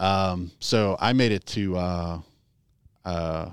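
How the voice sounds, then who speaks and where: With an American accent, a man speaks in a very deep, low pitch and fairly even intonation. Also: very clean recording, silent background. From US Midwest, Chicago area. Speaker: sprint car racing PR person. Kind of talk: casual interview chat.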